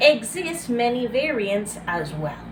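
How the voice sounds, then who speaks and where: In a Venezuelan accent, a woman speaks at a very slow pace with very wide pitch swings. Noticeable background noise runs underneath. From Venezuela, Barcelona, Anzoátegui coastal region. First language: Spanish. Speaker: graduate student. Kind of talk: class presentation video. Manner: halting with self-corrections.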